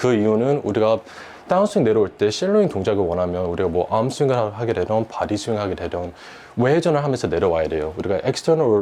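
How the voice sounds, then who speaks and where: Over noticeable background noise, a man talks at a very fast pace. His fairly low voice moves through very wide pitch swings. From United States. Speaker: golf instructor. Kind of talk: golf lesson explanation. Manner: formal.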